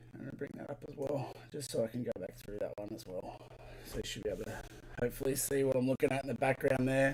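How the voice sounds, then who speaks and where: Talking at a very fast pace, a man with an Australian accent sounds somewhat breathy, keeping his intonation fairly even while his loudness swings a lot. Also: medium pitch for a man. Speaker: LEGO builder and live streamer. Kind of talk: live stream chat while building. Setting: live stream from home studio.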